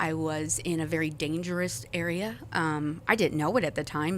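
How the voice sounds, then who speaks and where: Her pitch is very deep and low, and she speaks with an American accent. The woman talks at a fairly slow pace with ordinary pitch variation. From US Midwest, South St. Louis, Missouri. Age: 40s. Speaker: church member sharing testimony. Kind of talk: testimony.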